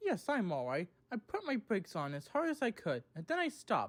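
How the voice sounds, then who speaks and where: The speaker puts on a character voice at a fairly high pitch. The pace is fairly quick. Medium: read story.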